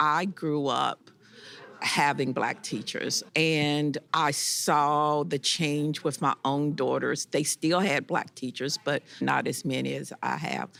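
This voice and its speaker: The speaker talks at a very slow pace with vocal fry and fairly even intonation. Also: woman, very deep, low pitch for a woman. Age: 60s. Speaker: history teacher. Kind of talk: interview.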